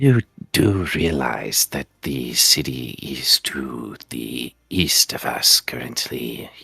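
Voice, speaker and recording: A man's put-on character voice, very deep and low, at a very slow pace. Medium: actual play. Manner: calm, polite.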